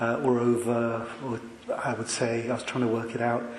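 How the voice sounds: Soft-spoken, a man talks at medium pitch and a moderate pace. His intonation is monotone and flat, with audible room echo.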